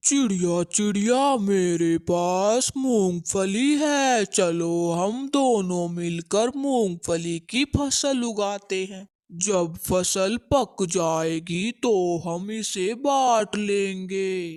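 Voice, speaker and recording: A cartoonish character voice at a middle pitch drawls out words at a very slow pace. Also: quiet background. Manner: scheming, bossy.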